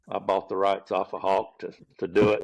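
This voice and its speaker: Against a quiet background, a man with a Gulf Coast Southern US accent speaks in a fairly low pitch. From US South, Pensacola, Florida. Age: 60s. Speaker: professional golf caddie. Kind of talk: podcast interview. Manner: relaxed storytelling.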